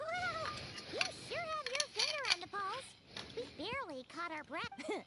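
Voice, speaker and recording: Over loud background noise, a squeaky, put-on character voice at an extremely high pitch swings very widely in pitch at a moderate pace. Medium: video game. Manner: casual, wry.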